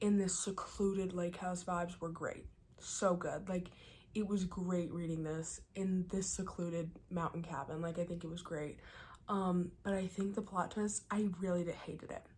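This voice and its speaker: A woman whispers at a moderate pace, her voice somewhat breathy. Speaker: book vlogger. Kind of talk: casual vlog review. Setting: cabin in the mountains. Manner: whispering.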